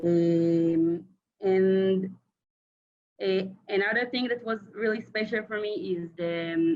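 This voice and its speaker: Speaking with an Israeli accent, a woman uses a medium pitch and fairly even intonation. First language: Hebrew. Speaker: former Israeli community emissary. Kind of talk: casual reunion chat. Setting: video call. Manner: halting.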